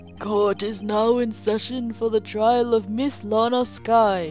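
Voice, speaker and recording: Over clear music in the background, a woman does a put-on character voice at a fairly high pitch and a fairly slow pace. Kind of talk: formal courtroom announcement.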